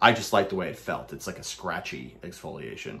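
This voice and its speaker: A moderately paced man's voice with an American accent. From Brooklyn, New York. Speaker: soap reviewer / YouTuber. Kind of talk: casual product review monologue. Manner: casual, rambling, halting with filler words. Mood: relaxed, enthusiastic. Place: home room. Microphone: phone near.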